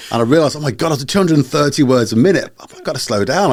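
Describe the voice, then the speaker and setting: Speaking very fast, a man uses lively intonation. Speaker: podcast co-host. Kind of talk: casual chat.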